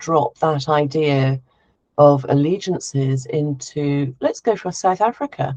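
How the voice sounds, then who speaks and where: A woman's very deep, low voice with a dark, mellow tone and ordinary pitch variation. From Devon, England. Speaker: expat consultant. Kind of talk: casual chat.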